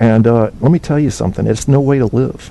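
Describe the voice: The voice has a dark, mellow tone with vocal fry and an American accent. Delivery comes at a fairly quick pace with ordinary pitch variation. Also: man, medium pitch for a man.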